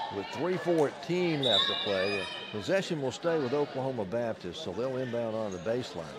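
Over loud background noise, a man talks with very wide pitch swings and hardly any pauses, the sound dry with no echo. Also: moderate pace. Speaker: basketball play-by-play announcer. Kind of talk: live sports commentary, play-by-play. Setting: broadcast from the arena. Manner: upbeat broadcaster energy, rattling off names and scores. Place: stadium. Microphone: headset.

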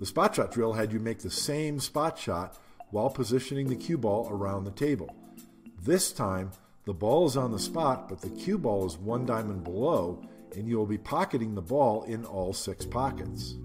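Over music in the background, a man speaks at a moderate pace with lively intonation. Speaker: pool instructor. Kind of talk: tutorial.

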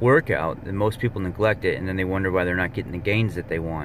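A man speaks with a very deep, low pitch and fairly even intonation. The sound is dry with no echo, over light background noise. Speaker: fitness vlogger. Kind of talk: casual vlog chat. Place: car. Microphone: phone near.

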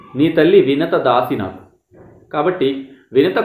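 A man speaks with ordinary pitch variation. Audible room echo surrounds him in a quiet background. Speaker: storyteller giving moral talk. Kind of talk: storytelling lecture. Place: home room. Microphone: phone near.

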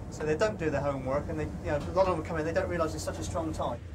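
Very fast speech from a man, with noticeable noise in the background. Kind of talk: interview answer. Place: boat.

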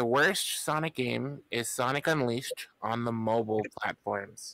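An unremarkable speaking voice with hardly any pauses and ordinary pitch variation. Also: man. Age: 30s. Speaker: YouTuber and game modder. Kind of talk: casual interview chat. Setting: online voice call. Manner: jokey.

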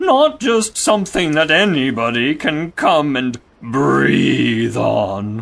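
A put-on character voice with vocal fry, a fairly bright tone, big pitch swings and a slow pace

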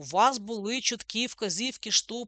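Her voice is fairly high with a bright, sharp tone and lively intonation at a moderate pace. The sound is dry and close with no echo, over a quiet background. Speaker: physics teacher. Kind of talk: school lesson. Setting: online lesson recording. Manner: instructive, informal.

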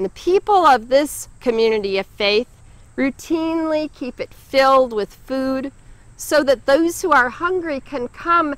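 A woman speaks with a high pitch and lively intonation. The sound is dry, with no echo. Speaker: pastor giving a sermon. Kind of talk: church sermon. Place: garden.

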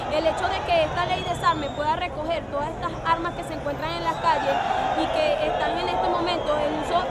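With crowd noise in the background, the speech moves at a moderate pace in a dry sound with no echo. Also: woman. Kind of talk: interview answer. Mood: earnest, engaged. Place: street.

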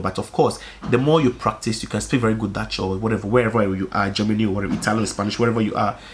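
A man speaks at a very fast pace in an animated tone. His pitch variation is ordinary. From Africa. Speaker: YouTuber. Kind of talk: casual monologue vlog. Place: home room.

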